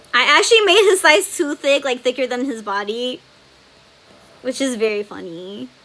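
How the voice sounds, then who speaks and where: A woman uses a raised, projected voice at a high pitch with very wide pitch swings. Her loudness swings a lot, and she leaves long, frequent pauses. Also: moderate pace. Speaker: webcomic artist streamer. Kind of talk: live stream tutorial chat. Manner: casual, filler-heavy.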